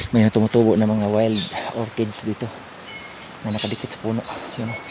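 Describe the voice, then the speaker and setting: Soft-spoken and very fast, a man talks at a fairly low pitch with monotone, flat intonation over noticeable background noise. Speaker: outdoor explorer vlogger. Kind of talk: vlog narration. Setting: outdoors.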